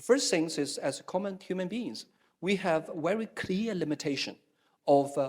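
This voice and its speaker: A man with a Chinese accent speaks at a moderate pace in a high voice. His intonation is lively. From China. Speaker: Taoism scholar. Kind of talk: panel discussion. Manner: halting, many fillers and repetitions.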